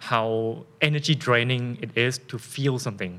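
In a Thai accent, a man speaks at a moderate pace and medium pitch, with ordinary pitch variation and a bright, sharp tone. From Thailand. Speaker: fitness coach and influencer. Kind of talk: casual interview conversation.

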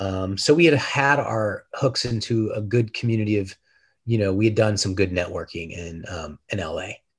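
A somewhat breathy man speaks on a very clean recording with a silent background. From Denver, Colorado. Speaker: film director. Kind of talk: interview.

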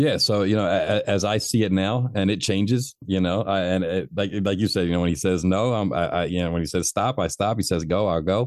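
A man with an unremarkable speaking voice, fairly low in pitch, at a fairly quick pace with hardly any pauses, ordinary pitch variation and very even loudness. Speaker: author and public speaker, former addict. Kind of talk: casual chat, testimony.

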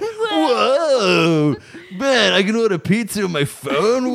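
A put-on character voice at a middle pitch and a very slow pace. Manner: slack, awestruck.

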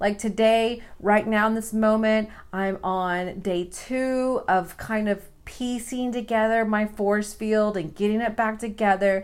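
In a very clean recording with a silent background, a woman talks at a fairly slow pace in a fairly high pitch, her tone animated and her pitch variation ordinary. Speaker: podcast host. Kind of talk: casual monologue. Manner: rambling with tangents.

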